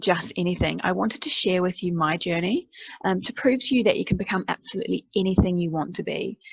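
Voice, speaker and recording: A woman speaks at a very fast pace with lively intonation and a medium pitch, somewhat breathy. The sound is dry and close, with no echo. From New Zealand. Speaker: veterinary nurse. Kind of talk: keynote presentation.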